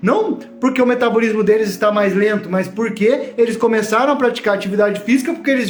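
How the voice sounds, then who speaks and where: Noticeable background noise and audible room echo surround a man speaking at an extremely high pitch. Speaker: online course teacher. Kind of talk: live online class. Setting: livestream from home.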